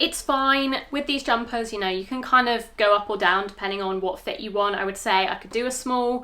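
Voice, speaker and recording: A woman with a British accent, a bright, sharp tone and a fairly high pitch, talking at a fairly quick pace with ordinary pitch variation and hardly any pauses. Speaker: fashion vlogger. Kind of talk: product review try-on. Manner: fast; casual, hesitant with fillers.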